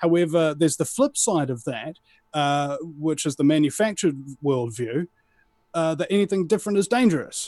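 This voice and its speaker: A man speaks with a New Zealand accent at a moderate pace, his intonation lively. The background is quiet. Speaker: alternative media broadcaster. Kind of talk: casual interview chat. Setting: live show.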